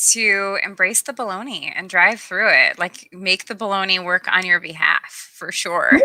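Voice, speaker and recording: Heard with a dry, close sound and no echo, a woman of medium pitch speaks at a moderate pace over noticeable background noise. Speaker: guest sharing illness story. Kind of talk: casual interview chat. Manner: halting with ums.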